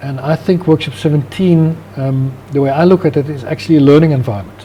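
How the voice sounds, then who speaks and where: Amid noticeable background noise, a man with a Dutch accent talks at a very fast pace in a fairly high pitch with ordinary pitch variation. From Netherlands. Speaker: business founder and CEO. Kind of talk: interview. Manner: hesitant, many fillers.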